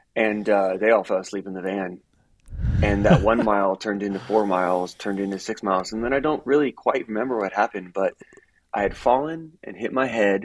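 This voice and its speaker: An ordinary speaking voice from a man, fairly low in pitch, fairly quick, with ordinary pitch variation. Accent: American. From Miami, Florida. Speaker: running apparel sales executive. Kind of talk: casual interview chat.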